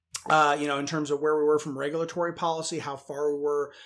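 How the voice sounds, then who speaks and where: A man with an American accent talks at a very fast pace and a fairly high pitch, his intonation monotone and flat. Noticeable background noise is present. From US, northern Virginia. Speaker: podcast host and nuclear energy advocate. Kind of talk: interview. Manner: many fillers, hesitant.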